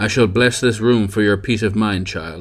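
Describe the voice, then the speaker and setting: A man does a put-on character voice, growling at a fairly low pitch. He keeps a moderate pace and fairly even intonation. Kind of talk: solemn clerical speech. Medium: read story.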